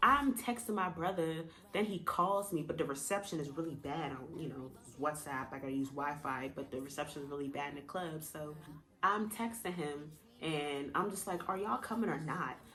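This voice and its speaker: Over noticeable background noise, a woman with a very deep, low pitch speaks with lively intonation. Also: moderate pace. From Jamaica. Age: 20s. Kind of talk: casual storytime talk to camera.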